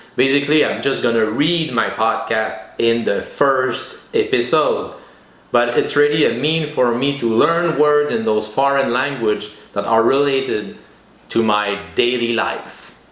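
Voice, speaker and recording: A man with a French accent at medium pitch and a fairly slow pace, with audible room echo. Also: ordinary pitch variation. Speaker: podcast host. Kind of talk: solo podcast monologue. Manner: halting.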